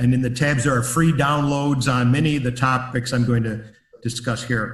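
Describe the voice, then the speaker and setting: At a moderate pace and medium pitch, a man speaks in a monotone, flat way, with audible room echo around him. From US Midwest, Chicago. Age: 70s. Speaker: business consultant and author. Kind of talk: webinar presentation. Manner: hesitant fillers.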